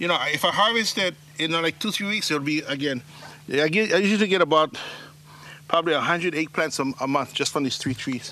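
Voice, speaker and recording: A man with a Hawaiian accent speaks at a high pitch with lively intonation. His pace is fairly quick, broken by long, frequent pauses. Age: 50s. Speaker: farmer and slack key musician. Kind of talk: casual talk on farm tour. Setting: outdoors.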